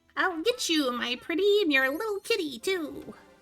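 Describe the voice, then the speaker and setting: With music in the background, a woman puts on a menacing character voice at an extremely high pitch, keeping a moderate pace. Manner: menacing, cackling.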